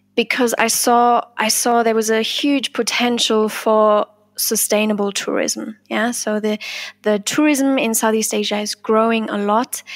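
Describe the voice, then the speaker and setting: A woman talks at a fairly slow pace in a fairly high pitch. Her intonation is monotone and flat. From Germany. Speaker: sustainability coordinator. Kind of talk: interview.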